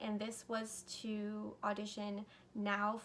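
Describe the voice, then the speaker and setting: A woman at a medium pitch amid noticeable background noise. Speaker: YouTuber. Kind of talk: storytime vlog.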